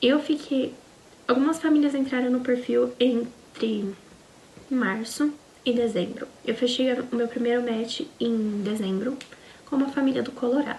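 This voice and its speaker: A woman with a Brazilian accent speaks at a high pitch, leaving long, frequent pauses. Noticeable background noise is present. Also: fairly even intonation. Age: 20s. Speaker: au pair vlogger. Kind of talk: casual personal vlog storytelling.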